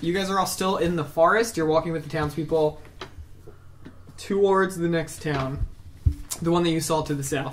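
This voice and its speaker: The speech moves at a moderate pace with long, frequent pauses against noticeable background noise. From Brazil. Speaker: game master of tabletop role-playing podcast. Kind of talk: casual chat while narrating a tabletop game.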